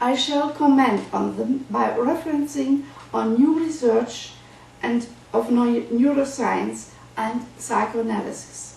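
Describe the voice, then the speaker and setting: In a German accent, a woman with a high pitch speaks very slowly with ordinary pitch variation, over noticeable background noise and audible room echo. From Germany. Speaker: psychoanalyst. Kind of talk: lecture. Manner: formal.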